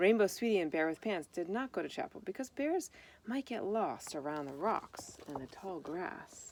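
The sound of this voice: A woman's slightly mellow, fairly low voice with lively intonation at a moderate pace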